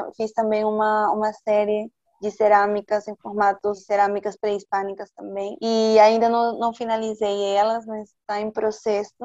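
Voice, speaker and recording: In a Spanish accent, a woman with a dark, mellow tone speaks at a moderate pace and a fairly high pitch, her delivery monotone and flat with hardly any pauses. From Peru, Lima. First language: Spanish (speaking Portuguese). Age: 20s. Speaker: visual artist. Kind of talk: casual interview.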